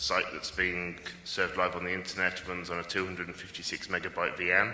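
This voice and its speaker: Amid noticeable background noise and audible room echo, a man with a very deep, low voice speaks fairly quickly. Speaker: conference speaker, software developer. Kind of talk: technical conference talk. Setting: conference stage with audience. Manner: fast.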